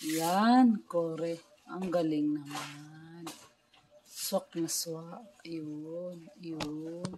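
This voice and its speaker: A woman's fairly low voice, very slow, with ordinary pitch variation, big swings in loudness and noticeable background noise. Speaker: home vlogger. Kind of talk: casual chat.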